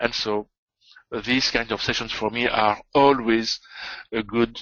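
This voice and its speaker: A man speaks with a strong French accent. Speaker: trading educator. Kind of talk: live trading webinar. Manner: hesitant, many fillers.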